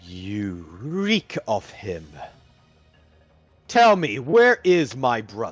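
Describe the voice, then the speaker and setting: Over faint music in the background, a booming put-on character voice moves at a very slow pace, with very wide pitch swings and long, frequent pauses. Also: man, medium pitch for a man. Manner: menacing, commanding.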